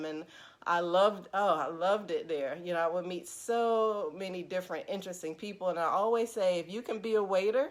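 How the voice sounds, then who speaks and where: In an ordinary speaking voice, a woman speaks at a fairly quick pace with medium pitch and ordinary pitch variation, on a very clean recording with a silent background. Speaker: counselor. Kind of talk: casual live stream talk to viewers.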